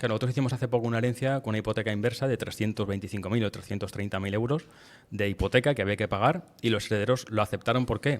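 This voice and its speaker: Fairly even intonation marks a man's delivery. He talks at a very fast pace. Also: medium pitch for a man. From Madrid, Spain. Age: 40s. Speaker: lawyer. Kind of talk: podcast interview.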